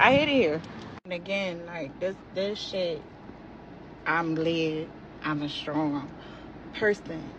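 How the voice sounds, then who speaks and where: Over noticeable background noise, a woman talks at a fairly slow pace with a fairly low pitch and ordinary pitch variation. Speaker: social media poster. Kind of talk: rant. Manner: loud; animated.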